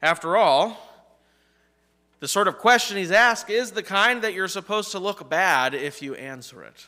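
A man's bright, sharp tone at a fairly slow pace against a quiet background. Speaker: pastor. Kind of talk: sermon. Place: church.

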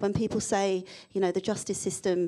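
In a London accent, a woman talks at a fairly quick pace with a dark, mellow tone. Her intonation is monotone and flat, and the background is quiet. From London, England. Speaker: diversity and inclusion consultant; panelist. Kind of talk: panel discussion. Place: hall. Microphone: handheld.

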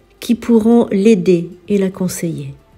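Set against background music, a woman speaks very slowly in a gentle, calm tone at medium pitch with ordinary pitch variation. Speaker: spiritual healer and priestess. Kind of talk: healing prayer.

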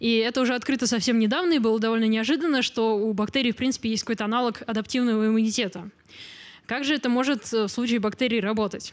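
Over a quiet background, a woman talks at a very fast pace with a fairly high pitch. Her loudness stays very even. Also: ordinary pitch variation. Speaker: biology lecturer, genetics graduate student; biology lecturer. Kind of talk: popular science lecture. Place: hall. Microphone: handheld.

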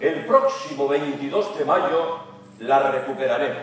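Speaking at a very slow pace, a man swings his pitch very widely amid strong room echo. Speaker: announcer delivering a rally speech. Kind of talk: epic motivational political speech. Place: hall.

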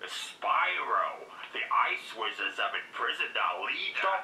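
In a put-on character voice, a raspy, growling man speaks at a fairly slow pace over clear background noise. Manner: acting a game line.

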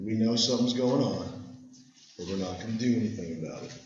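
Recorded with audible room echo and noticeable background noise, a man talks at a moderate pace with ordinary pitch variation. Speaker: history teacher. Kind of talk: lecture. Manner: casual, conversational.

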